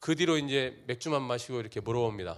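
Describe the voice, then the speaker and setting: The recording is very clean, with a silent background. On it, a man talks at a fairly quick pace. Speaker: company CEO. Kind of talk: talk show interview before live audience. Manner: animated.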